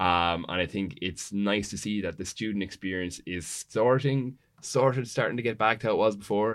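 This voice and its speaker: With an Irish accent, a man talks at a moderate pace with hardly any pauses. His pitch is fairly low with ordinary variation, against a quiet background. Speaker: student union president. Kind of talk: panel discussion.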